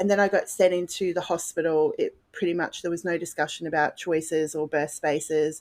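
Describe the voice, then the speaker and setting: A woman talks at a fairly quick pace in an Australian accent, her pitch fairly low and her intonation monotone and flat. The recording is very clean, with a silent background. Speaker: podcast guest, mother. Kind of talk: personal testimony.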